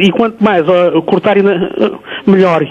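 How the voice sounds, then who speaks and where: A high-pitched man's voice with ordinary pitch variation, over noticeable background noise. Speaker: caller. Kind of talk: phone-in opinion. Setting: phone call. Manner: fast.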